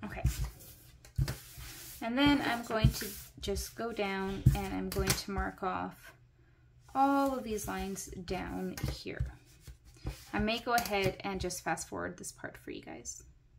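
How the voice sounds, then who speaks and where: Delivered at a fairly slow pace with long, frequent pauses, the speech swings widely in loudness while music plays in the background. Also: woman. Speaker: crafting video creator. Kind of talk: tutorial.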